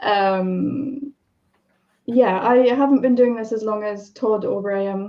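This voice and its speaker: A woman at a very slow pace, fairly high in pitch, her intonation fairly even. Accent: British. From UK. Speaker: software developer and accessibility specialist. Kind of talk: live stream panel discussion. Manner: halting, many fillers.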